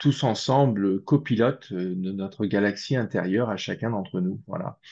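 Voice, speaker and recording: Man's voice with a dark, mellow tone, ordinary pitch variation and a moderate pace, over a quiet background. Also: fairly low pitch for a man. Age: 60s. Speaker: spiritual researcher. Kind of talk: interview. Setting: video call. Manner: hesitant, many fillers.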